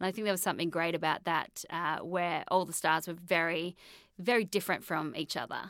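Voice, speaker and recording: A woman with an Australian accent speaks at a fairly quick pace and fairly low pitch, with fairly even intonation. The recording is very clean, with a silent background. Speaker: film journalist and author. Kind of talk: casual interview chat. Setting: studio.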